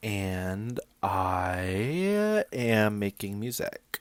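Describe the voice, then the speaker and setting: A man with fairly low pitch and an American accent. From Florida. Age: 20s. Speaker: aspiring musician, college student. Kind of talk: casual vlog monologue. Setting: at parents' house. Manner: hesitant, many fillers.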